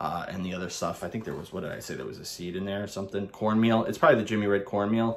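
With an American accent, a man with a fairly low pitch talks at a very fast pace with hardly any pauses, ordinary pitch variation and big swings in loudness. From Brooklyn, New York. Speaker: soap reviewer / YouTuber. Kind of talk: casual product review monologue. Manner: casual, rambling, halting with filler words. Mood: relaxed, enthusiastic. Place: home room. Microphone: phone near.

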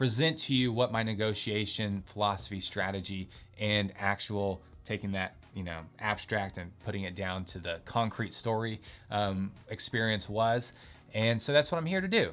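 A man speaks at a moderate pace in a fairly low voice. His pitch varies in an ordinary way. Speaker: lawyer. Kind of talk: casual educational talk to camera. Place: home room.

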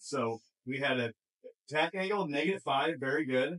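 The background is quiet. A man speaks at a moderate pace with ordinary pitch variation. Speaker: golf coach. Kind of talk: tutorial. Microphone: camera far.

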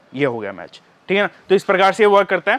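This man talks fast in a high voice with a fairly bright tone. His pitch swings widely.

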